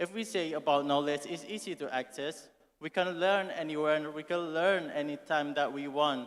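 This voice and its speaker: Speaking at a moderate pace with fairly even intonation, a man with an Indonesian accent has a fairly high pitch. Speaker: student asking a question. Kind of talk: audience question at conference. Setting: auditorium. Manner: reading from phone.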